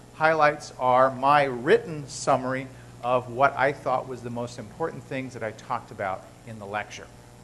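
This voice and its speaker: Medium-pitched man's voice with fairly even intonation and big swings in loudness. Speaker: biochemistry professor. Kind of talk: lecture. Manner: fast.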